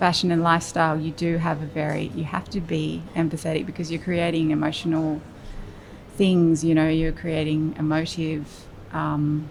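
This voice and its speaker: A soft-spoken woman talks in a very deep, low pitch. Her intonation is monotone and flat. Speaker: creative director and design studio founder. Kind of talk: interview answer.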